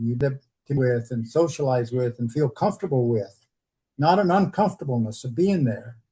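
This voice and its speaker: Somewhat breathy and dark and mellow in tone, a man talks at a moderate pace with lively intonation. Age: 80s+. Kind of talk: interview.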